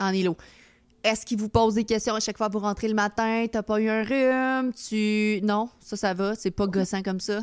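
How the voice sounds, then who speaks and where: In a very clean recording with a silent background, a woman with a Quebec accent talks at a moderate pace in a fairly high, monotone, flat voice. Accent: Québécois French. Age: 30s. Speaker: streamer and podcast host. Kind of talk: casual chat. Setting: live stream with chat.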